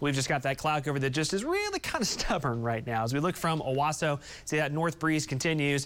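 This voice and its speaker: A man talks in an unremarkable speaking voice. His pitch is fairly high and varies in an ordinary way. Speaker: TV meteorologist. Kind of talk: TV weather forecast, conversational walk-through of temperatures and timing. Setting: TV studio. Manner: casual, chatty forecaster with filler repeats; friendly, upbeat with light humor.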